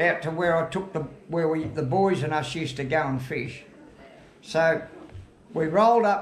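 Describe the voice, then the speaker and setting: A high-pitched man speaks in a strong Australian accent at a moderate pace with ordinary pitch variation. Noticeable background noise and audible room echo are present. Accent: broad Australian. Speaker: retired fisherman. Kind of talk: casual chat. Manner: halting.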